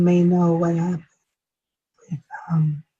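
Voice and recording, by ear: Her voice fairly low and somewhat breathy, a woman speaks in a dark, mellow tone with monotone, flat intonation.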